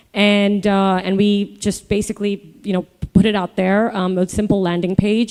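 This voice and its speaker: With an American accent, a woman speaks in a dark, mellow tone at medium pitch. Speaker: startup founder. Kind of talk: live podcast interview. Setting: stage with live audience. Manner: halting, many fillers.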